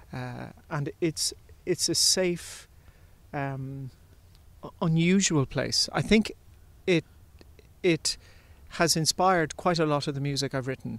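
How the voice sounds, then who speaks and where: With an Irish accent, a man talks at a very slow pace, leaving long, frequent pauses. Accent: flat Irish. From Ireland, Limerick family, partly Bundoran. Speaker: composer and artistic director. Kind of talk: interview. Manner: hesitant, many fillers.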